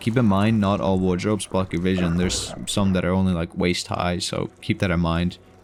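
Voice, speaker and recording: A man with a very deep, low pitch, fairly even intonation and a fairly quick pace, amid noticeable background noise. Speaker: video game reviewer. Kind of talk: game review narration. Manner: somewhat monotone.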